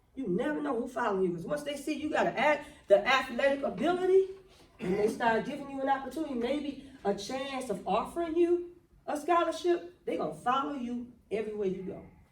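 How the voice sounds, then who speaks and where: Amid noticeable background noise and audible room echo, a woman speaks fairly quickly in a high, animated voice with very wide pitch swings, big swings in loudness, and long, frequent pauses. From Michigan, Flint. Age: 60s. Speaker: motivational speaker. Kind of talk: motivational talk. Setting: talk to a basketball team.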